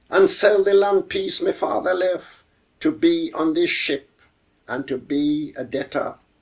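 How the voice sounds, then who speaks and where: Very slow speech with a Jamaican accent. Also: man. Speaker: poet. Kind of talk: poetry reading. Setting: home.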